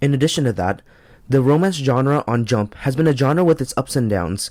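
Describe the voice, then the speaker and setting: A shaky, nervous male voice at medium pitch and a fairly quick pace, dry and close with no echo, in a very clean recording over a silent background. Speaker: anime and manga reviewer. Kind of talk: review monologue. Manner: shaky voice, nervous first video.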